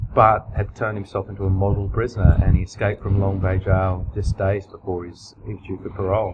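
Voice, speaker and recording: Talking at a very fast pace, a man with an Australian accent has a fairly low pitch, with noticeable background noise behind him. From Australia (country towns). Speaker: crime novelist. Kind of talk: interview. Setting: writers festival.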